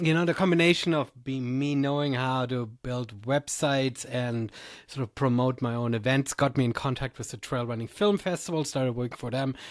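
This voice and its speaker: A man speaks in a medium pitch with a German accent. His pace is moderate and his pitch varies in an ordinary way. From Germany. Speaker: trail race director and podcaster. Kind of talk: podcast interview.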